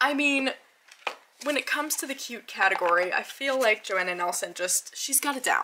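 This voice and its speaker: A woman's raised, projected voice, high in pitch with very wide swings, at a moderate pace over noticeable background noise. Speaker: tarot YouTuber. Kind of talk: casual video review. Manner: animated.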